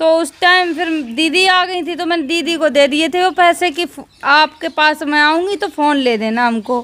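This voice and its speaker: Extremely high in pitch, a woman's voice has a bright, sharp tone. She speaks at a fairly slow pace with ordinary pitch variation. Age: 20s. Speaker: social media video creator; interviewee. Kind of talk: interview. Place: open country.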